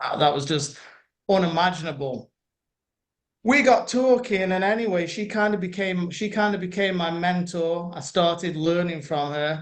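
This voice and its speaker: At a moderate pace, a man speaks at a high pitch with ordinary pitch variation. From UK. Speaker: internet marketer. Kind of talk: interview. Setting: video call.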